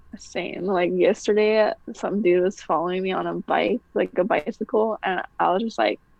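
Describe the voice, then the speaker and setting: She is a woman talking at a moderate pace with hardly any pauses. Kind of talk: casual chat.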